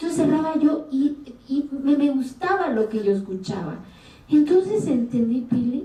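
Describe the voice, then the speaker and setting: Speaking with an Oaxacan accent, a woman uses a high pitch and lively intonation over noticeable background noise. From Mexico, Oaxaca Sierra Sur, Zapotec community. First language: Zapotec (speaking Spanish). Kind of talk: interview. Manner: animated.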